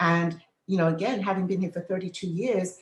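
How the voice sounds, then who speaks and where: Somewhat breathy, a woman with an English accent speaks at a medium pitch. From England. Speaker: midwife. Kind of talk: podcast interview.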